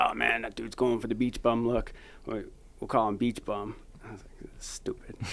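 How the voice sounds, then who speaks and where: A man with an American accent talks at medium pitch with monotone, flat intonation and vocal fry. His loudness swings widely. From Massachusetts, Lynn near Boston. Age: 40s. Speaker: thru-hiker. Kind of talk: casual chat.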